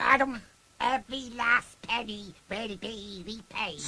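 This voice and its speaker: Putting on a character voice at an extremely high pitch, a man speaks at a fairly slow pace with ordinary pitch variation. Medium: read story. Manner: pompous, oily.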